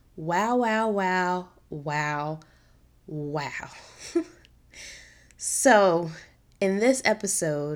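A woman's fairly low voice at a very slow pace, with ordinary pitch variation, in a very clean recording with a silent background. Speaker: podcaster. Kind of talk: solo podcast monologue. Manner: casual, chatty.

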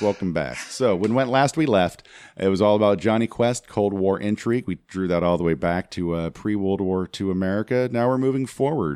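A man's fairly low, ordinary speaking voice with lively intonation at a moderate pace, in a very clean, dry, close recording with a silent background and no echo. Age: 40s. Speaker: podcast co-host. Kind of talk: casual chat.

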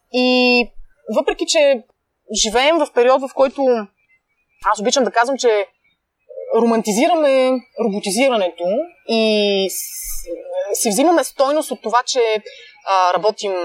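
A woman's high-pitched voice with lively intonation at a fairly slow pace, dry and close with no echo. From Bulgaria, Pleven. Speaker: food blogger and entrepreneur. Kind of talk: casual interview. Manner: hesitant, many fillers.

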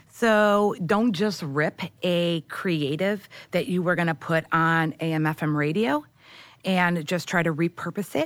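A woman with an American accent speaks at a fairly slow pace and fairly low pitch, with ordinary pitch variation. The recording is very clean, with a silent background. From US Midwest, Michigan (outside Detroit). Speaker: media research and sales executive. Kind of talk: podcast interview.

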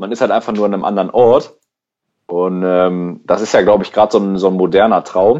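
A man at a fairly quick pace, fairly low in pitch with a dark, mellow tone and fairly even intonation, over a quiet background. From Germany, Schwelm (Ruhr area, NRW). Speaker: podcast host. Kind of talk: casual chat.

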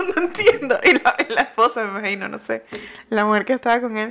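A woman talks at a very fast pace. Her pitch swings very widely. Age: 20s. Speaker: podcast co-host. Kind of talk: casual chat.

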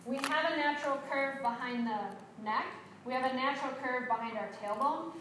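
Amid noticeable background noise and audible room echo, a woman with a high pitch talks at a fairly quick pace. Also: ordinary pitch variation. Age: 50s. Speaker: yoga teacher trainer. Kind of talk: workshop instruction. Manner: animated.

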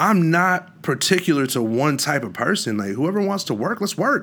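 The voice carries an American accent and vocal fry. Its pitch swings very widely. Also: man. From Washington State, US. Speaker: musician. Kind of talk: casual chat.

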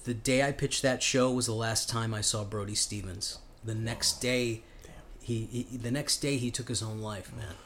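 A man with a plain, everyday voice and an American accent speaks at a moderate pace with a medium pitch and fairly even intonation. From Chicago. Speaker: comedian. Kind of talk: casual chat.

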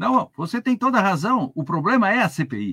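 A man talks at a moderate pace with very wide pitch swings, the sound dry and close with no echo. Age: old. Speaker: law professor. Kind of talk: live TV panel discussion.

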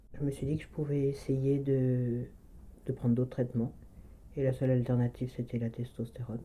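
Long pauses come often, though the talking in between runs fairly quick. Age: 40s. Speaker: manual medicine practitioner. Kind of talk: personal testimony interview. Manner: halting, with frequent hesitations.

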